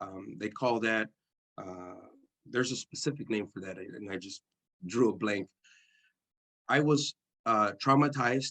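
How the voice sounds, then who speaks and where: A man with a Spanish accent at a fairly slow pace, ordinary pitch variation, and long, frequent pauses. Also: medium pitch for a man. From East San Jose, California. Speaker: formerly incarcerated speaker. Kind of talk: testimony. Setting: church service.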